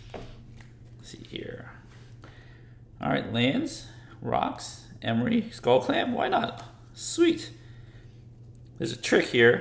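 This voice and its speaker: Whispering comes through at a very slow pace, broken by long, frequent pauses and big swings in loudness. Audible room echo and noticeable background noise fill the recording. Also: man. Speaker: MTG deck tech YouTuber. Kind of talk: tutorial. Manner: animated.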